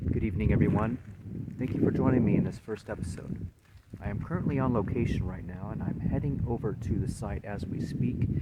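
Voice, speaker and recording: Over noticeable background noise, a man talks at a fairly quick pace. His pitch is fairly low and his intonation lively. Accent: American. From California. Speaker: paranormal investigator and show host. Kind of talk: casual vlog talk. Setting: outdoors on location at historic fort.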